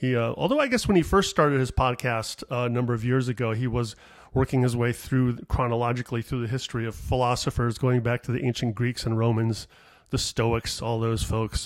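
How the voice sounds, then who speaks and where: Fairly quick and fairly even in intonation, a man speaks at a medium pitch. The recording is very clean and the background silent. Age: 50s. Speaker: comedian. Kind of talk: solo monologue podcast, casual rambling. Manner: rambling, self-deprecating, digressive; mumbles, sometimes not enunciating.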